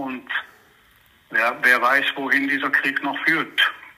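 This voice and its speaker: Noticeable background noise surrounds a man speaking at a medium pitch. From Israel, Jerusalem. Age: 70s. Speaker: historian and journalist. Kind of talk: interview. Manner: halting, many fillers.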